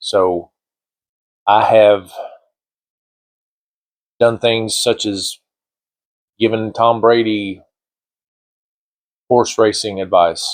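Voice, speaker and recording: Very slowly and with long, frequent pauses, a man speaks at a medium pitch in a monotone, flat intonation. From small coal town. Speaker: retired state trooper. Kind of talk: casual talk to camera. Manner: rambling, hesitant.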